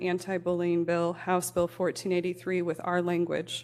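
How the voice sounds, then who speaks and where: In a Midwestern American accent, a woman talks at a fairly quick pace with a fairly low pitch. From US Midwest, Elkhart, Indiana. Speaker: parent advocate, public commenter. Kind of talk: prepared public comment at council meeting. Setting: city council meeting.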